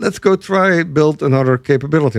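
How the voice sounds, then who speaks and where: A man with a Dutch accent speaks with lively intonation. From Netherlands. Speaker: software executive and podcast co-host. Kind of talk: casual business discussion.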